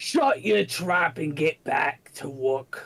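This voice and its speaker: A man's put-on character voice, fairly high-pitched and at a very slow pace. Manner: gruff, bossy.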